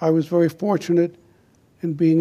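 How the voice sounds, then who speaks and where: In an American accent, a man speaks with a dark, mellow tone at a fairly high pitch. His intonation is monotone and flat, at a moderate pace. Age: 80s+. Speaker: war veteran. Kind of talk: informational talk.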